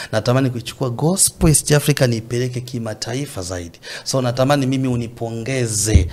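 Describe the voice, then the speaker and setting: In a normal speaking voice, a man talks at a fairly quick pace, with medium pitch and ordinary pitch variation. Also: hardly any pauses. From Tanzania, Mbeya. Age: young. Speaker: gospel singer. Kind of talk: casual interview.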